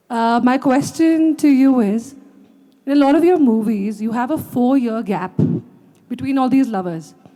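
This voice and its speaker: Lively intonation at a moderate pace, with audible room echo and noticeable background noise. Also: woman, high pitch for a woman. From Delhi, India. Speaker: audience member. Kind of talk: audience question. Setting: stage with audience.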